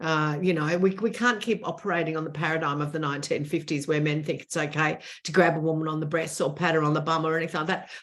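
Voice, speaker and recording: A woman with an Australian accent, very deep, low pitch and fairly even intonation at a very fast pace with hardly any pauses. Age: 60s. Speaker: author and former TV presenter. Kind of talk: interview conversation.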